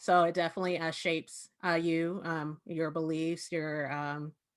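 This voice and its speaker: The recording is very clean with a silent background. A woman with a slight Southern US accent speaks fairly low in a monotone, flat intonation. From Southern California. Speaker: panel moderator. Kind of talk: panel discussion.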